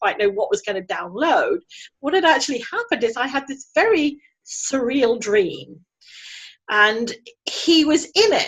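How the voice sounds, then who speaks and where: Very wide pitch swings in a British accent. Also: woman. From England. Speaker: energy healer. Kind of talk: interview.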